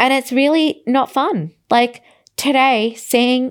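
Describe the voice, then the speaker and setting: The speaker has an Australian accent and ordinary pitch variation. The recording is very clean, with a silent background. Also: woman. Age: 30s. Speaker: podcast host. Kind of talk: casual monologue. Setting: hotel room.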